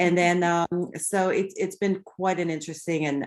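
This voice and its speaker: A woman with a French Canadian accent talks at a fairly low pitch over a quiet background. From Quebec, Canada. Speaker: real estate agent. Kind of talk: online seminar.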